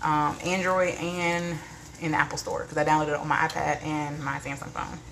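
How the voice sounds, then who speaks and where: A woman speaks at a fairly quick pace in a very deep, low voice with flat, monotone intonation, over noticeable background noise and audible room echo. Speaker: lifestyle vlogger, live streamer. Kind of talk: casual live stream chat. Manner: fast.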